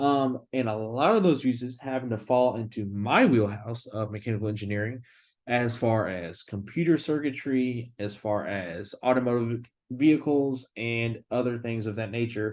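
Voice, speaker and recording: Over a quiet background, a man speaks at a moderate pace and medium pitch with ordinary pitch variation in an unremarkable speaking voice. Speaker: engineering student. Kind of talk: class presentation. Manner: casual.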